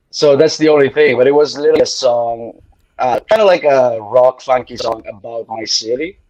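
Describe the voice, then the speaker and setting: In an Italian accent, a man speaks with ordinary pitch variation. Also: fairly high pitch for a man, moderate pace. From Italy, Bari area. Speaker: singer. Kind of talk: casual chat.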